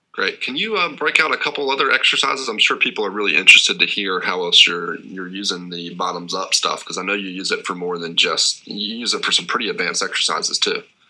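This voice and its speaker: A man talking very fast with hardly any pauses, over noticeable background noise. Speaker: interviewer. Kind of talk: interview.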